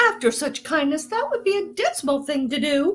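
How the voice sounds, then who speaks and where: In a put-on character voice with very wide pitch swings, the speaker moves at a moderate pace. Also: woman. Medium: stage play.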